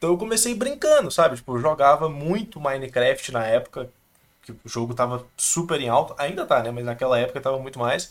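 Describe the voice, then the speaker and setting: A man with an unremarkable speaking voice talks at a fairly quick pace and a fairly high pitch. His intonation is lively, and his loudness swings widely. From Minas Gerais, Brazil (interior). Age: 20s. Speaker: video editor. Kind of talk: casual interview chat.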